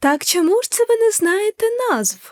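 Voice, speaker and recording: A woman uses a squeaky put-on character voice at an extremely high pitch, with lively intonation at a moderate pace in a dry, close sound with no echo. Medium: read story. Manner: sugary and prying.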